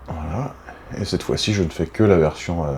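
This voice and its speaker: Calm in tone yet lively in intonation, a man speaks at a fairly slow pace over noticeable background noise. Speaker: body movement instructor. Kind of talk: guided exercise class. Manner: heavy audible breathing; calm, unhurried.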